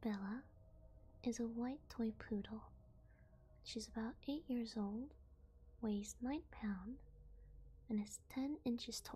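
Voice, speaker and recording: A soft-spoken woman whispers at a very slow pace, somewhat breathy, leaving long, frequent pauses. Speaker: vtuber ASMR reader. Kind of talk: sleep story / creepypasta reading. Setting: binaural ASMR microphone. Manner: soft-spoken, whispery.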